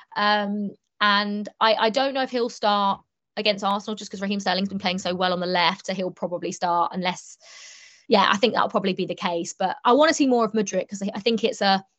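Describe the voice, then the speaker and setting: Speaking at a fairly quick pace, a woman uses an ordinary speaking voice at a medium pitch. Her intonation is fairly even. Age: 20s. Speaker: sports TV reporter and presenter. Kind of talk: casual interview chat.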